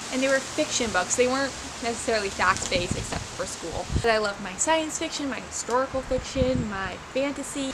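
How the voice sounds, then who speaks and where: Soft-spoken and with hardly any pauses, a woman uses lively intonation amid noticeable background noise and audible room echo. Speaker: small business owner and hobby painter vlogger. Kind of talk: casual vlog talk to camera. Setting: outdoors in backyard. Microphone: no mic, quiet recording.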